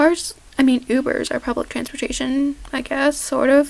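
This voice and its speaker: Over noticeable background noise, a woman with a high pitch speaks at a fairly slow pace with fairly even intonation. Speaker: vlogger. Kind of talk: casual Q&A vlog. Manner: halting. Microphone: poor sound quality.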